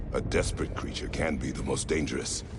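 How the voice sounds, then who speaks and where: A man performs a put-on character voice at a very fast pace. Loud background noise runs underneath. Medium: video game. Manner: terse, formal, no contractions.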